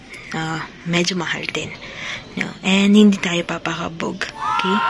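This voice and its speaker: A soft-spoken woman with fairly low pitch, over noticeable background noise. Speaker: vlogger. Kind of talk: casual vlog talk. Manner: speaking softly; chatty.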